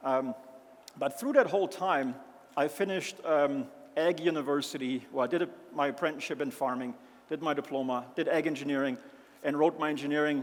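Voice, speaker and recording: A man with a German accent talks at a fairly quick pace, his pitch fairly high. He leaves long, frequent pauses. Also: ordinary pitch variation. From Germany, rural mountain area. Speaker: agricultural company founder. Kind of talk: conference presentation. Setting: stage with audience.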